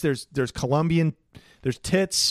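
Over a silent background in a very clean recording, a man talks with lively intonation and an animated tone. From Portland, US Pacific Northwest. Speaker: comedian. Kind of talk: casual comedic banter, crude humor. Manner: animated, irreverent.

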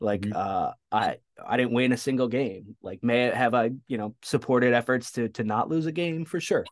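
The voice is a plain, everyday voice. It moves at a moderate pace with ordinary pitch variation. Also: man, medium pitch for a man. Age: 40s. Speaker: sports dietitian. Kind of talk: casual chat.

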